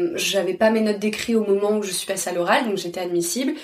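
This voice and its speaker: Room echo is audible as a woman talks at a medium pitch. Her pitch varies in an ordinary way. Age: 30s. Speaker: literature teacher. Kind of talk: interview. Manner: halting.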